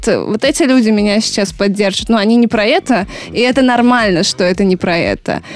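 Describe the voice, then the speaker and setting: A woman talks at a fairly high pitch that varies in an ordinary way. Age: 20s. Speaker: radio host. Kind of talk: casual chat. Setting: recorded at a country house.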